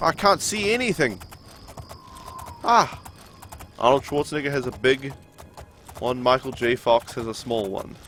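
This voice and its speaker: With noticeable background noise behind him, a man with an American accent and medium pitch talks at a moderate pace with lively intonation and long, frequent pauses. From New Zealand. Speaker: gaming live streamer. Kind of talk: live gameplay stream chatting with viewers. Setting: live stream. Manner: casual, conversational.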